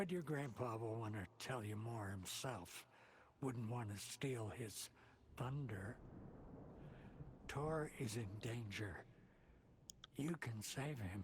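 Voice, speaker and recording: A put-on character voice moves at a fairly slow pace with long, frequent pauses over clear background noise. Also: man, medium pitch for a man. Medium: video game. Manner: cryptic, folksy, salty.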